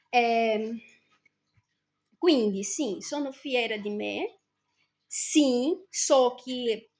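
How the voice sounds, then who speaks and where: A woman with a Brazilian accent speaks in a high pitch with ordinary pitch variation. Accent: Brazilian Portuguese accent in Italian. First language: Portuguese (speaking Italian). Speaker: vlogger. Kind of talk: personal vlog monologue.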